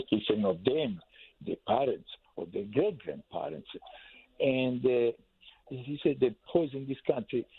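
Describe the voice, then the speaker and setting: A man with an Italian accent speaks at a fairly slow pace, using lively intonation and big swings in loudness, broken by long, frequent pauses. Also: medium pitch for a man. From Italy. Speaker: caller. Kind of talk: phone-in opinion. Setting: phone call. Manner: halting.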